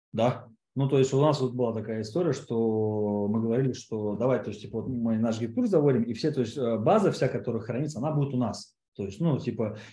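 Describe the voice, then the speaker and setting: At a fairly quick pace, a man speaks at medium pitch in a dark, mellow, somewhat breathy tone with ordinary pitch variation. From Siberia, Russia (Kemerovo). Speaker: online course producer and entrepreneur. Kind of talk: casual interview. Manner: halting, many fillers.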